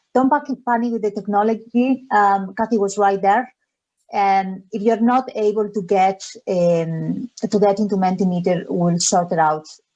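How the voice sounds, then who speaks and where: In a Spanish accent, a woman speaks with a dark, mellow tone and ordinary pitch variation. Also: medium pitch for a woman, moderate pace. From Spain, Galicia. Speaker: charity education officer. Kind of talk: webinar presentation. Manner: hesitant, many fillers.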